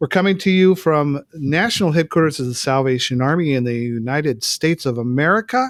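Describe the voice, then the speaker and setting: A man with an unremarkable speaking voice talks at a fairly high pitch and a fairly quick pace, with lively intonation, hardly any pauses, and a dry, close sound with no echo. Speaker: podcast host. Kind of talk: podcast intro.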